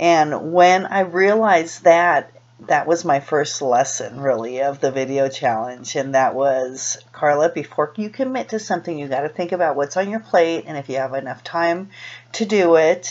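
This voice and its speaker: A woman with a Californian accent speaks at a moderate pace in a very deep, low voice over noticeable background noise. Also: lively intonation. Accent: General American, Californian. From US West Coast, Los Angeles. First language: Spanish. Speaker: vlogger. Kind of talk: personal vlog monologue. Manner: halting, many fillers and restarts.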